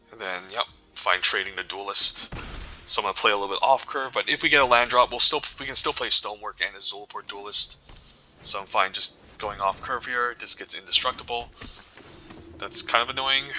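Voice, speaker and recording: Noticeable background noise fills the recording. Over it, a man talks at a fairly quick pace. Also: big swings in loudness. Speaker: gaming video creator. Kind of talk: gameplay commentary. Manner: mumbling.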